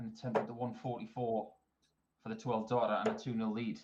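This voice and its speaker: Talking at a fairly quick pace, a man with a Northumbrian accent keeps a monotone, flat intonation. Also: big swings in loudness. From northern England, Northumberland. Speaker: darts commentator. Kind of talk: live commentary.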